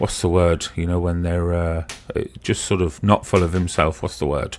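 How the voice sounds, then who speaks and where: In a slight Brummie accent, a man speaks at a moderate pace with a very deep, low, flat monotone. Background noise is noticeable. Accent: slight Brummy. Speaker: live stream participant. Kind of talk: casual chat.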